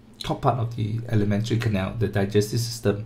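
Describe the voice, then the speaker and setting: The man's voice comes across somewhat breathy as he talks at a moderate pace. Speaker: tutor. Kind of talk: tutorial.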